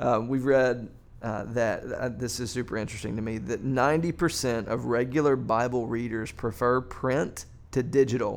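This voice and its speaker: Vocal fry and fairly even intonation in a man's speech. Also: medium pitch for a man, moderate pace. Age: 40s. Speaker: pastor on church podcast. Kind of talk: casual discussion.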